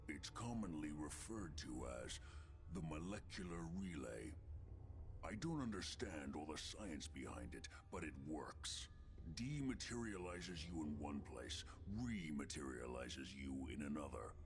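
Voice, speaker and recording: A man does a put-on character voice at a very deep, low pitch and a moderate pace over clear background noise. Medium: video game. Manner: suspicious, brusque, lecturing.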